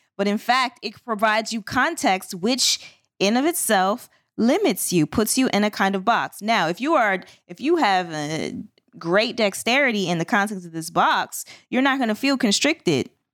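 A woman with a plain, everyday voice and a fairly high pitch speaks at a moderate pace with lively intonation, captured in a very clean recording with a silent background. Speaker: confidence coach and podcast co-host. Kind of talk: casual panel discussion.

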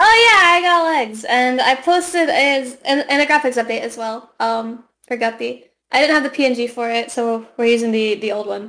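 Speaking at a fairly slow pace, a woman uses a high pitch and a bright, sharp tone with ordinary pitch variation. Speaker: podcast guest, VTuber.

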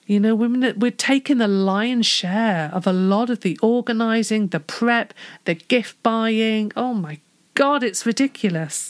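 A speaker with a British accent talks at a fairly slow pace with ordinary pitch variation. The recording is very clean, with a silent background. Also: woman, fairly high pitch for a woman. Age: 40s. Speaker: podcast host. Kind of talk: solo podcast talk. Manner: animated.

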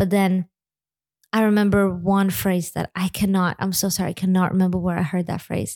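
A woman speaks at a fairly quick pace in an American accent, her medium-pitched voice flat and monotone on a very clean recording with a silent background. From Lithuania. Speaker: church executive officer and musician. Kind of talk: interview conversation.

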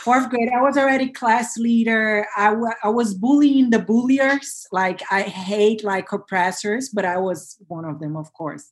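A woman speaks at a fairly slow pace with a Portuguese accent, her pitch fairly high and her pitch variation ordinary, with hardly any pauses. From Brazil. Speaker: self-love coach, former corporate lawyer. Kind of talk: interview, personal story. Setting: video call.

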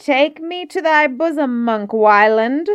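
A woman puts on a shrill character voice at a high pitch. She goes at a fairly slow pace. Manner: shrieking, laughing hideously.

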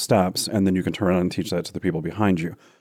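Talking very fast, a man with a very deep, low pitch and a dark, mellow tone keeps a monotone, flat intonation on a very clean recording with a silent background. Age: 40s. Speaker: photographer. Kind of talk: casual chat.

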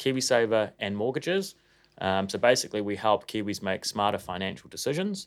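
A man with a New Zealand accent, fairly low in pitch with ordinary variation, at a fairly quick pace, in a very clean recording with a silent background. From New Zealand, Auckland. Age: 30s. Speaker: financial advisor and company CEO. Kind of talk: casual interview.

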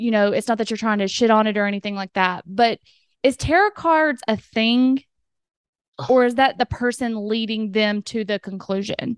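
Recorded dry and close with no echo, a woman with a Southern US accent speaks at a fairly high pitch with ordinary pitch variation. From US South. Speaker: podcast host. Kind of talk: casual interview chat. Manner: excitable.

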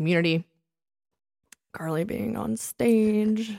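A woman's lively intonation in a very clean recording, silent background, dry and close with no echo. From Delaware County, Pennsylvania. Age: 30s. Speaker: podcast co-host, fitness instructor. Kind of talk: casual chat.

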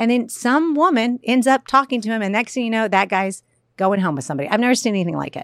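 On a very clean recording with a silent background, a woman with an American accent speaks at a fairly high pitch. Her pace is very fast and her intonation lively. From US South. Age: 40s. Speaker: comedian and author. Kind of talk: casual chat.

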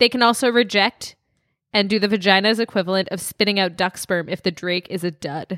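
A woman speaks in a normal speaking voice at medium pitch. She keeps a fairly quick pace with ordinary pitch variation. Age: 30s. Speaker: podcast co-host. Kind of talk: casual chat.

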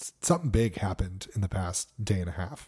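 This man has a normal speaking voice and an American accent. He talks at a moderate pace with lively intonation. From Connecticut, US. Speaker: podcast co-host. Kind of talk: casual chat.

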